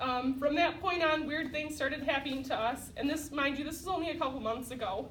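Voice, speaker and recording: A loud woman's voice at a high pitch, with fairly even intonation and audible room echo. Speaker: program graduate giving testimony. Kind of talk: testimony.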